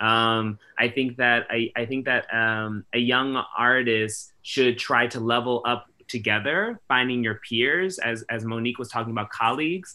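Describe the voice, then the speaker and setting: A man with an American accent speaks with hardly any pauses, in a bright, sharp tone and fairly even intonation. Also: fairly slow pace. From Washington DC. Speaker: theatre artistic director; panelist. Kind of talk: panel discussion. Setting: video call. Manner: halting. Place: home room. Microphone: video call.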